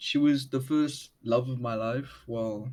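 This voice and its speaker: Fairly slow speech in a strong South African accent, with fairly even intonation. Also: man. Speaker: underground musician. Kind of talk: casual interview chat. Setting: video call.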